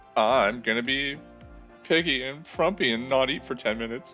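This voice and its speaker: Over clear music in the background, a man does a put-on character voice at a medium pitch and a moderate pace. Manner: groggy, lazy, frumpy.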